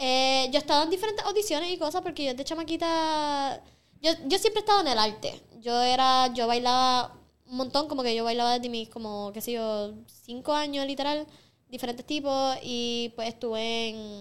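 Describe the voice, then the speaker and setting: Here a woman speaks with a high pitch and lively intonation. Her pace is moderate. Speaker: singer and makeup artist. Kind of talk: casual chat.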